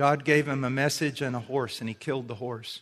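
The speaker has a plain, everyday voice. Intonation is fairly even and the pace moderate. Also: man. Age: 50s. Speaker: preacher. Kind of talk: sermon.

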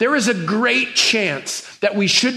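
A man's raised, projected voice, high pitch and ordinary pitch variation, over noticeable background noise. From New Mexico. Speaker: pastor. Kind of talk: sermon.

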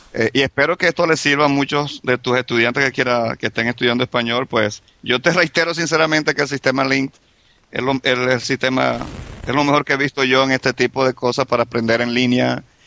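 A man speaks at a medium pitch and a fairly quick pace, with fairly even intonation and very even loudness. The sound is dry and close with no echo, though background noise is noticeable. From Venezuela. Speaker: immigrant guest. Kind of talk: casual chat.

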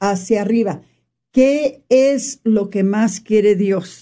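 A woman's somewhat breathy, dark, mellow voice, fairly high in pitch, with ordinary pitch variation and a very slow pace. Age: old. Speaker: radio host. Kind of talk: faith-based radio talk.

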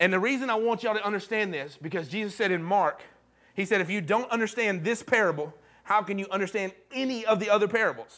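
Very fast and high-pitched, a man speaks in a bright, sharp tone with ordinary pitch variation. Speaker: pastor. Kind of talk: sermon. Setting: church.

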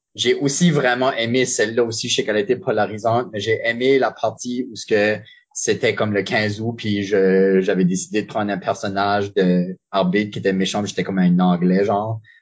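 Speaking with hardly any pauses at a moderate pace, a man uses an ordinary speaking voice, fairly low in pitch, with ordinary pitch variation. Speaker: improviser and referee. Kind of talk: casual interview.

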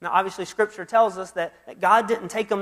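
The speaker talks at a fairly quick pace with an Alabama accent. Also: man. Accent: Southern US (Alabama). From US South, Mobile, Alabama. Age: 30s. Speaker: youth minister. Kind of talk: sermon.

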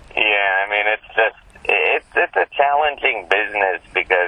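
A man's fairly low voice moves at a moderate speed while noticeable noise sounds in the background. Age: 40s. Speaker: magazine editor. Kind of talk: interview.

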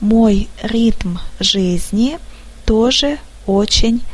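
A woman talks very slowly at medium pitch, leaving long, frequent pauses. The room echoes audibly and background noise is noticeable. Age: 30s. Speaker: office manager. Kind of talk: scripted narration.

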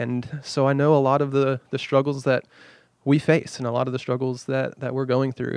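Monotone and flat, a man speaks at a moderate pace in a medium pitch. He has an American accent. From Wichita Falls, Texas. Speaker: pastor. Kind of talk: casual chat.

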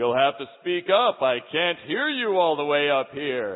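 A man uses a put-on character voice with fairly high pitch. His delivery is booming. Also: moderate pace.

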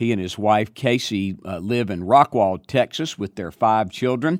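This man talks at a moderate pace with lively intonation. The recording is very clean, with a silent background. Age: 60s. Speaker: podcast host, preaching professor. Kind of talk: interview. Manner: halting, many fillers.

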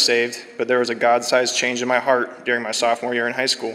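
With an American accent, a man talks at a very fast pace and a medium pitch against noticeable background noise. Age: 20s. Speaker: church member giving baptism testimony. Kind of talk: testimony. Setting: church.

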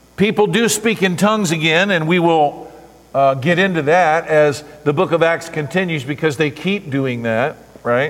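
A man with a fairly high pitch speaks at a moderate pace, using ordinary pitch variation and very even loudness. Noticeable background noise runs under the voice. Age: 50s. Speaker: pastor. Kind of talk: sermon. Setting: church.

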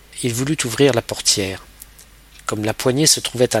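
Over noticeable background noise, a man with a medium-pitched voice speaks at a moderate pace using ordinary pitch variation. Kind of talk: literary audiobook reading, scripted narration of a novel. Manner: measured, storytelling pace with shifting tone, voicing dialogue lines briefly.

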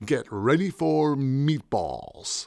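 On a very clean recording with a silent background, a man does a put-on character voice at a medium pitch. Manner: authoritative, dramatic.

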